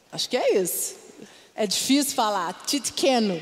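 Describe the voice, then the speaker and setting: A woman speaks at a fairly slow pace with a high pitch. Noticeable background noise can be heard. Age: 40s. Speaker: pastor. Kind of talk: sermon. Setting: church.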